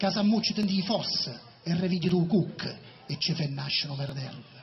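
A high-pitched man's voice in a southern Italian accent, with music in the background. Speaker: poetry performer. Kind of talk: poetry reading. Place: stage. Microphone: pa.

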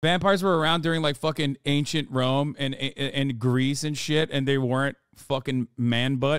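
A man speaks at a moderate pace with fairly even intonation. His voice is dry, with no echo, over a quiet background. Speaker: livestreamer. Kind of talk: casual stream commentary reacting to chat. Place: home room. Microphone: studio mic.

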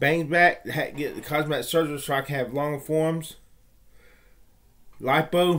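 A man speaks at a fairly high pitch in a flat monotone. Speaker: vlogger; reaction vlogger. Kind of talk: personal monologue. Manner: slurred speech from stroke; halting, self-correcting. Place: home room. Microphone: webcam.

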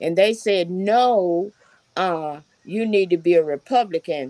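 With a Southern US accent, a woman of medium pitch speaks at a fairly slow pace with ordinary pitch variation, the sound dry with no echo. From Alabama, Dothan; Alabama. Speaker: retired teacher and party activist; retired teacher. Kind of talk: panel discussion. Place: home room. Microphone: video call.

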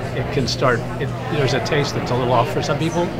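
A man talks at a very fast pace. Music plays in the background. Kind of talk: interview answer. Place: cafe. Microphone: lapel.

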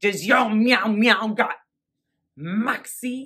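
A woman's put-on character voice, fairly high in pitch. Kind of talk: mock commercial pitch.

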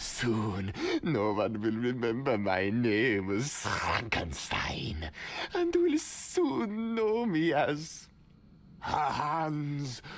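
Speaking at a very slow pace and a medium pitch, a man keeps his loudness very even while his pitch swings very widely. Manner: grandiose, theatrical.

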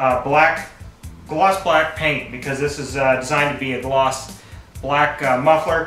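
There is audible room echo and faint background music as a man talks at a fairly slow pace. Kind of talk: tutorial. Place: garage. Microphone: camera far.

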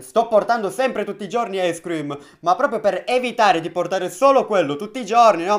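The background stays quiet. Against it, a man speaks very fast, his intonation lively. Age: 20s. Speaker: YouTuber, mobile gaming channel; YouTuber. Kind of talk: casual vlog chat. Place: home room.

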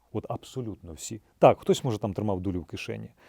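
With a dark, mellow tone and ordinary pitch variation, a man speaks fairly quickly at a fairly low pitch in a very clean recording with a silent background and a dry, close sound with no echo. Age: 40s. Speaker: actor and soldier. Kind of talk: interview testimony.

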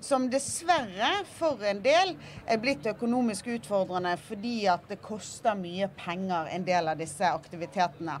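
Over light background noise, a woman talks at a medium pitch and fairly slow pace, her pitch swinging very widely. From Bergen, western Norway. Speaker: politician. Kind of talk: panel discussion. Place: boat. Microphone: handheld.

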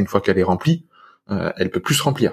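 The background is quiet as a man talks in a somewhat breathy voice. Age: 30s. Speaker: antifragility podcaster and coach; antifragility podcaster, coach. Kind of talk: casual chat. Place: home room. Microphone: studio mic.

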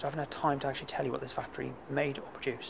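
Very fast speech over noticeable background noise. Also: man. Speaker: urban explorer vlogger. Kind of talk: casual vlog chat. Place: open country. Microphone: phone near.

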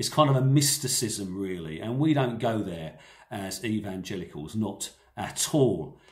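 A somewhat breathy man against a quiet background. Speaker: preacher. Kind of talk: sermon. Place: home room. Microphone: phone near.

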